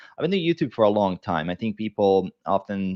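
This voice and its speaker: Talking at a fairly quick pace, a man has a non-native accent. His pitch sits fairly low. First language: not English. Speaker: fitness coach and YouTuber. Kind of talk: podcast interview.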